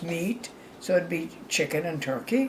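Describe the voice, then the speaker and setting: A woman speaks at a very slow pace with lively intonation over noticeable background noise. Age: 90s. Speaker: grandmother. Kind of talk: casual chat. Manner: halting.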